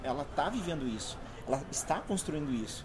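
Moderate-paced speech from a man at medium pitch, ordinary pitch variation, noticeable noise in the background. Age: 40s. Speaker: university course coordinator. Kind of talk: panel discussion. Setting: live recording with audience.

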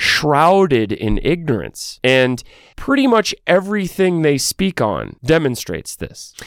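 A man with an unremarkable speaking voice, fairly high in pitch and lively in intonation, on a very clean, dry, close recording with a silent background and no echo. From Texas. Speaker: podcast host. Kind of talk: podcast commentary.

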